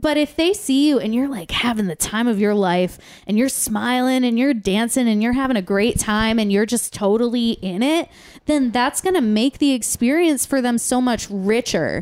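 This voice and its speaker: Her pitch fairly high, a woman speaks at a moderate pace with lively intonation and very even loudness. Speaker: community theater performer and podcast producer. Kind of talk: casual chat. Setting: studio.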